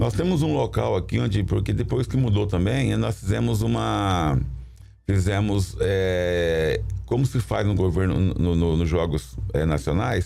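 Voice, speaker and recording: Against background music, a man with a very deep, low voice speaks at a fairly slow pace with very wide pitch swings and very even loudness. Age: 60s. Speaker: municipal sports secretary. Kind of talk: studio interview. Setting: studio. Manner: halting, with repetitions.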